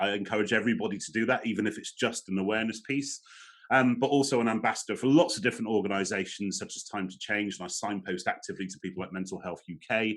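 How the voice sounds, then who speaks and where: This man speaks very fast with a fairly low pitch and ordinary pitch variation. His loudness swings widely against a quiet background. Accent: English. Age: 40s. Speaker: motivational speaker on mental health. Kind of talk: webinar talk. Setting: online webinar.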